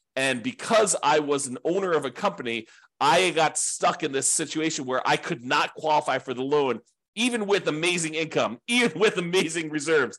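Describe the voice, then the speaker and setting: A man uses a normal speaking voice, fairly high in pitch, with lively intonation at a moderate pace. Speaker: real estate investing teacher. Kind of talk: class lecture.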